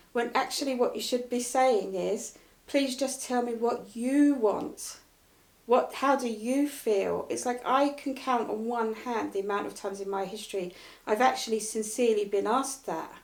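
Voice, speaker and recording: At a moderate pace, a woman speaks in a high pitch, with audible room echo. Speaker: motivational speaker and coach. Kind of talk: casual interview chat. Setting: live video stream. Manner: direct and blunt.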